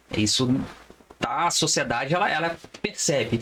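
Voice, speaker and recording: Clear background noise runs through the clip. Over it, a man talks rather slowly. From Brazil, Resende (Rio de Janeiro state). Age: 30s. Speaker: criminal lawyer. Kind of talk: podcast interview.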